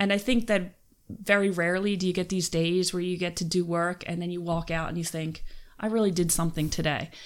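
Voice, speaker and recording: A woman with a Philadelphia accent, fairly low in pitch, at a fairly quick pace with fairly even intonation, in a very clean recording against a silent background. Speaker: criminology professor. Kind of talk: casual interview.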